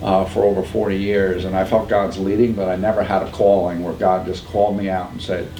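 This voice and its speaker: Over noticeable background noise and audible room echo, a man with a New York accent talks fairly quickly with hardly any pauses. His very deep, low voice stays monotone and flat. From upstate New York. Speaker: pregnancy center founder. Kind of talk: podcast interview.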